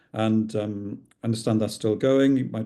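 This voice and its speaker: Speaking at a moderate pace, this man has a dark, mellow tone, a Welsh accent and ordinary pitch variation. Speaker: psychiatrist and clinical researcher. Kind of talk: lecture. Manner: hesitant, many fillers.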